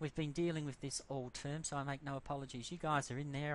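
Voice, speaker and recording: Talking at a very fast pace, a man with a medium pitch speaks with an Australian accent. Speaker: university lecturer. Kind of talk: lecture. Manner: halting, many fillers.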